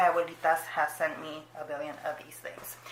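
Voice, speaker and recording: Through audible room echo and noticeable background noise, a woman speaks at a moderate pace. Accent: Spanish. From Mexico, moved to US at five. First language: Spanish. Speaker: booktuber. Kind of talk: casual vlog chat. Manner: casual, many fillers.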